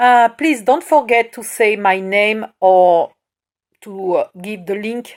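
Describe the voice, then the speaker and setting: On a very clean recording with a silent background, a woman speaks with a French accent. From France. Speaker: crafts tutorial maker. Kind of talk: tutorial. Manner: halting, hesitant.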